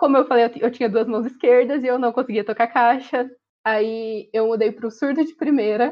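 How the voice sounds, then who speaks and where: Here a woman speaks at a moderate pace with fairly even intonation. Her pitch sits fairly high. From Ourinhos, São Paulo state, Brazil. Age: 20s. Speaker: dental student and university drummer. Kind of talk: casual interview. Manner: talkative.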